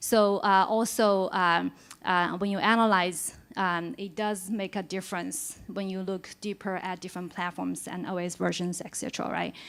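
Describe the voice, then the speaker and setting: The intonation stays fairly even at a moderate pace. The recording is very clean, with a silent background. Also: woman. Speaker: conference speaker. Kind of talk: conference talk. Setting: stage with audience. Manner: hesitant, many fillers.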